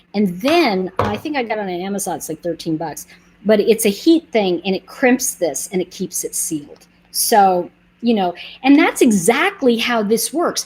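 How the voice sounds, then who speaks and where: A woman with an American accent speaks at a medium pitch with lively intonation. Her tone is animated and somewhat breathy. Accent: New York accent, noted by viewers. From New York. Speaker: online nail polish seller, channel host. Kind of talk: live stream product demo and chat. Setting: YouTube livestream. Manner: animated, chatty.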